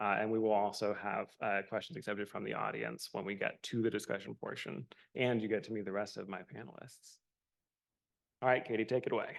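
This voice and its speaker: A man talks at a fairly quick pace with a fairly low pitch. His voice has vocal fry. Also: ordinary pitch variation. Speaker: panel moderator. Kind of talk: panel discussion opening remarks. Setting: stage with live audience and Zoom. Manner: partly scripted, many filler uhs.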